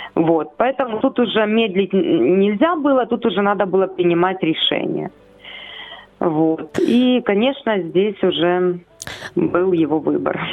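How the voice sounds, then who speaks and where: Against noticeable background noise, a woman with a medium pitch speaks at a very slow pace with lively intonation, very even loudness and long, frequent pauses. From Ukraine, Chernihiv. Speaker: foster mother of ten, church minister. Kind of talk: radio interview. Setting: phone call.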